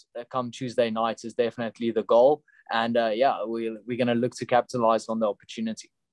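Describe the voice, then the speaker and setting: A man with medium pitch and a South African accent is heard in a dry, close sound with no echo. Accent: Afrikaans South African English. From South Africa, Pretoria. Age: 20s. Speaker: professional MMA fighter. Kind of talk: interview.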